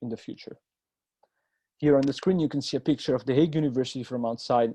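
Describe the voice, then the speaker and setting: Pitched at a medium level, a man talks with fairly even intonation. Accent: Italian. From Italy, Rome. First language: Italian. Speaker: university student. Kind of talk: presentation.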